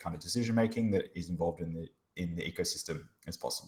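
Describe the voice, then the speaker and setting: A man with an Australian accent speaks at a very fast pace in a very deep, low voice. His delivery is somewhat breathy, with fairly even intonation. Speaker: blockchain researcher and hackathon mentor. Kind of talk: workshop presentation. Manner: casual, many filler words.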